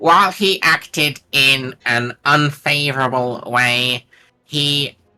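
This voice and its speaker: With music in the background, a man does a raspy put-on character voice at a fairly high pitch. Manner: acting a pompous, stuffy official reading a ruling.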